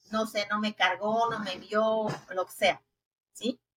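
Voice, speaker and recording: A woman with a Mexico City accent is heard in a dry, close sound with no echo. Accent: Mexican Spanish (Mexico City). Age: 60s. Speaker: family constellation therapist. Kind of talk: interview.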